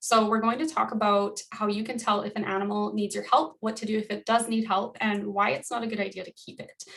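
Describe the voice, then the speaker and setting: Speaking at a fairly quick pace, a woman with a fairly high pitch keeps her intonation fairly even while her loudness swings widely. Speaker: wildlife educator. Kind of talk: educational presentation. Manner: fast.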